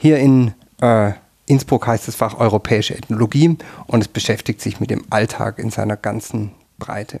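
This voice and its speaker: The man's pitch is medium, with fairly even intonation and a moderate pace. The sound is dry and close with no echo. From Germany, Württemberg (near Tübingen). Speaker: professor of European ethnology. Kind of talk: interview. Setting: studio on seventh floor of university tower. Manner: hesitant, many filler sounds.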